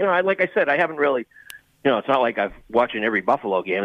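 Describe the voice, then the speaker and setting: A man talks in a Boston accent at a medium pitch. His intonation is lively. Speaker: college hockey color commentator. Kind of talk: radio interview analysis.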